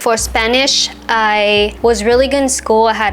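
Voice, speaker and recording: Through noticeable background noise, a woman with a Vietnamese accent speaks at a fairly slow pace, her fairly high voice held to fairly even intonation. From France, Vietnamese family. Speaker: vlogger, expectant parent. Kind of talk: casual personal storytelling.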